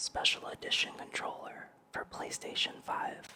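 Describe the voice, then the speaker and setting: A man whispers at a very slow pace against noticeable background noise. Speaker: gaming and ASMR YouTuber. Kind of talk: ASMR talk to camera, relaxed sleep-aid narration.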